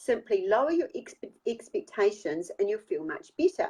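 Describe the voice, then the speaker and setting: A woman with a New Zealand accent, very wide pitch swings and a fairly slow pace. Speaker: author and life coach. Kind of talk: reading aloud; casual chat.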